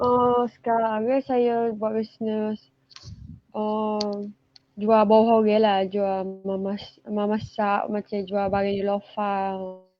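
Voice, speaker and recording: Her pitch is fairly high for a woman, and her intonation is monotone and flat. She speaks at a very slow pace. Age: 20s. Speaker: student and small seller. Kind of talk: interview. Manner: halting.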